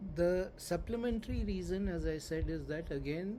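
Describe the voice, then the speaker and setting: A man speaks at a moderate pace in a dark, mellow tone. His pitch varies in an ordinary way, and room echo is audible. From India. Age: 60s. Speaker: spiritual teacher. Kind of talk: lecture.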